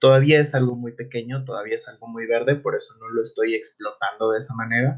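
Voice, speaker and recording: Very fast delivery with monotone, flat intonation and big swings in loudness. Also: man, medium pitch for a man. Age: 20s. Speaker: psychologist, podcast host. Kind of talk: solo podcast monologue. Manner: hesitant, many fillers.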